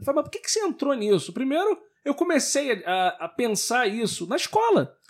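Extremely high in pitch, a man's voice moves at a moderate pace through very wide pitch swings. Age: 30s. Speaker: local politician. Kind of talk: interview.

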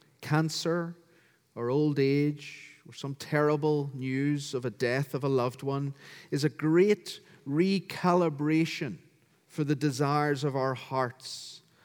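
On a very clean recording with a silent background, a man with a Northern Irish accent and a fairly high pitch speaks at a very slow pace, his intonation fairly even but his loudness swinging widely. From Northern Ireland, County Down. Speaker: pastor. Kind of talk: sermon. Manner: formal.

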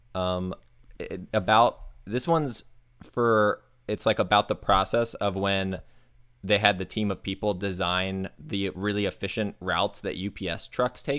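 With a normal speaking voice, a man talks at a fairly low pitch using ordinary pitch variation. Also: fairly slow pace, very clean recording, silent background. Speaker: podcast co-host. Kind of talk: casual chat.

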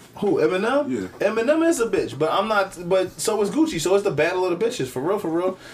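A man with an American accent talks at a very fast pace, his high voice making very wide pitch swings. Noticeable background noise runs underneath. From Philadelphia, US. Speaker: podcast host. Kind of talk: casual chat. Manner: animated.

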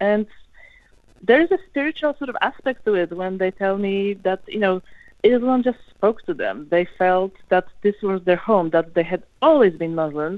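Using a normal speaking voice, a woman talks at a moderate pace and medium pitch with lively intonation. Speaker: academic researcher. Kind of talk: radio interview.

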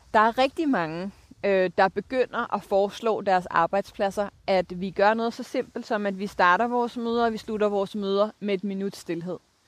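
A woman at a medium pitch, moderate pace and fairly even intonation, hardly any pauses, dry and close with no echo. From Denmark, Copenhagen area. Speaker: sustainability leader. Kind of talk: interview. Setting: outdoors.

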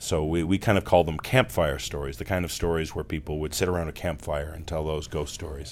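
Amid noticeable background noise, a man with a very deep, low pitch talks at a fairly quick pace with ordinary pitch variation and hardly any pauses. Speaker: podcast creator and narrator. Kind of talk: casual interview. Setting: in person, live show venue.

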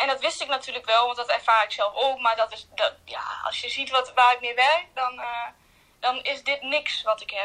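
Her tone bright and sharp, a woman speaks at a high pitch and a moderate pace with fairly even intonation. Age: 20s. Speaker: hospital ward assistant with a chronic illness. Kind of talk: personal testimony interview. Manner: hesitant, many fillers.

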